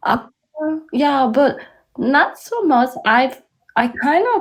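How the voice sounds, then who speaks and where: On a very clean recording with a silent background, a woman with a Korean accent speaks at a very slow pace with ordinary pitch variation. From South Korea. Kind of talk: podcast conversation.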